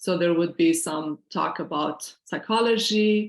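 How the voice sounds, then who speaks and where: A woman speaks with a Syrian accent. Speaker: financial planner and workshop presenter. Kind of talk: online workshop presentation.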